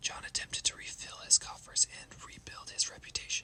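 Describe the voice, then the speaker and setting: The voice is a whisper. There's noticeable noise in the background. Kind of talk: ASMR history narration. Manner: whispered.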